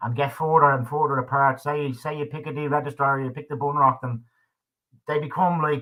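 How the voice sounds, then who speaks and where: Speaking in an Irish accent, a man talks at a fairly quick pace in a fairly high pitch with monotone, flat intonation. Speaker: livestream talk show host. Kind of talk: casual chat. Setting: live stream.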